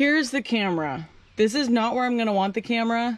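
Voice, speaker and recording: The woman's voice sounds dry with no echo. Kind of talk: casual vlog tutorial. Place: farm machine. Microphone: phone near.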